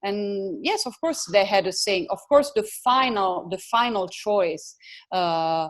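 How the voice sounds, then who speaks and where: A woman with an Italian accent speaks at a very slow pace, her medium-pitched voice full of lively intonation over a quiet background. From Italy. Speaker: photographer. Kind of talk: interview. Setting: video call. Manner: halting.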